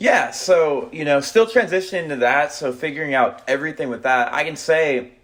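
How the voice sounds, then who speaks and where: Amid noticeable background noise, a man speaks with hardly any pauses. His pitch is fairly high, with ordinary variation. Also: moderate pace. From Texas. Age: 20s. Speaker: finance guest, banker. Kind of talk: casual podcast interview.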